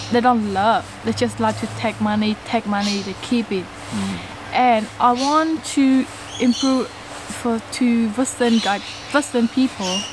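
A woman speaks in a Cambodian accent at a fairly slow pace, her pitch fairly high and her intonation fairly even. The sound is dry with no echo, over noticeable background noise. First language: Khmer. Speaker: co-host, vlogger's wife. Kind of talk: casual chat. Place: garden.

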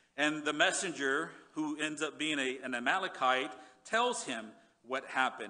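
Ordinary pitch variation and a moderate pace from a man. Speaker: pastor. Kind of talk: sermon. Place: church. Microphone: headset.

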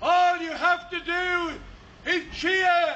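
This man's voice is raised and projected, with a bright, sharp tone. His pitch is extremely high. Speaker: town crier. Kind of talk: town crier proclamation. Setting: outdoors. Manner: loud, declamatory. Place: street.

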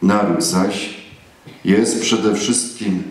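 A man's fairly low voice with ordinary pitch variation and audible room echo. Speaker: priest. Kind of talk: sermon. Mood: solemn patriotic. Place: church. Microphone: camera far.

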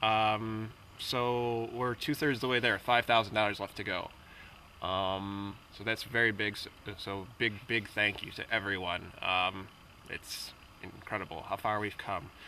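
Fairly slow and fairly even in intonation, a man speaks at a fairly low pitch. The sound is dry with no echo, and there is light background noise. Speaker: film producer. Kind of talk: interview. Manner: halting, many fillers. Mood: grateful, a bit hesitant. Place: waterside.

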